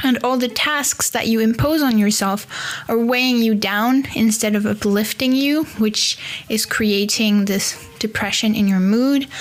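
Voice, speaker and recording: A woman's fairly high, fairly evenly intoned voice at a fairly slow pace, with very even loudness and noticeable background noise. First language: French. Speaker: podcast host. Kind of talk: solo podcast monologue. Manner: casual, conversational with fillers.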